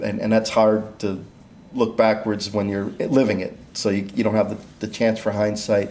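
Audible room echo around a man's fairly low, dark, mellow voice, monotone and flat in intonation, at a moderate pace. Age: 50s. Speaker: inventor and entrepreneur. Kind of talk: interview.

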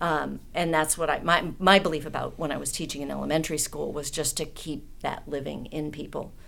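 Speaking at a fairly quick pace, a woman uses a very deep, low pitch with vocal fry and monotone, flat intonation, and the room echo is audible. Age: 50s. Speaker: artist and political activist. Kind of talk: casual chat.

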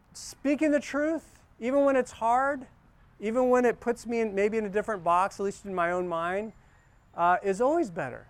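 A high-pitched man at a moderate pace with lively intonation, in a very clean recording against a silent background. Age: 50s. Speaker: pastor. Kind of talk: sermon.

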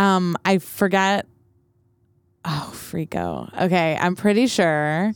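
At a very slow pace with long, frequent pauses, a woman speaks in a fairly low pitch with fairly even intonation, the sound dry and close with no echo. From Canada, Vancouver and Montreal. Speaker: singer-songwriter. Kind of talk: casual chat. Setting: studio.

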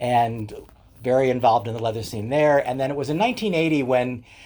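This is a man with a plain, everyday voice at medium pitch and ordinary pitch variation. The recording is very clean, with a silent background. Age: 60s. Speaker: leather community educator and writer. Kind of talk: casual interview chat.

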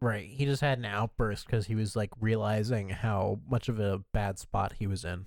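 At a moderate pace and with hardly any pauses, a man talks in a normal speaking voice with fairly even intonation. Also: fairly low pitch for a man, very clean recording, silent background. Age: 20s. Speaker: podcast co-host. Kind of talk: casual chat.

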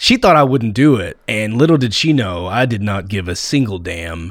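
A man with a normal speaking voice, medium pitch, moderate pace and an American accent. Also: very clean recording, silent background. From Texas, near Fort Worth. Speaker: comedian and podcast host. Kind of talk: casual interview.

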